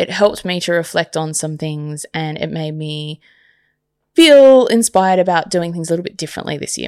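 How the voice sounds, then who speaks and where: With an Australian accent, a woman talks at a moderate pace in a fairly low voice with ordinary pitch variation, and the sound is dry and close with no echo. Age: 30s. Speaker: podcast host. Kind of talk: solo podcast monologue. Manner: casual, with many fillers.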